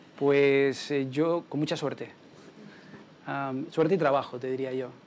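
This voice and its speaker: In a Canarian accent, a man speaks at a moderate pace with fairly high pitch and monotone, flat intonation over noticeable background noise. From Canary Islands, Spain. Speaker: political campaign strategist. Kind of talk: Q&A after a talk.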